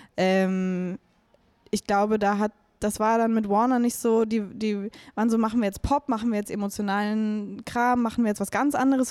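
Her fairly high pitch and fairly even intonation give this woman a dark, mellow tone. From Bavaria, Chiemsee and Munich. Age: 20s. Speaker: singer-songwriter. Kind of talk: casual interview chat.

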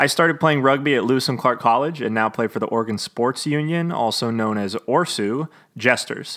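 Recorded very cleanly against a silent background, a man speaks at a medium pitch. His pitch variation is ordinary. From US Pacific Northwest. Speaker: rugby podcast host. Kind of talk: solo podcast commentary.

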